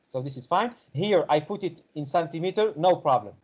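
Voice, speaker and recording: A man speaks at a fairly quick pace, his fairly high voice carrying lively intonation. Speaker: university physics professor. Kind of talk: online help session lecture. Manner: halting with many fillers.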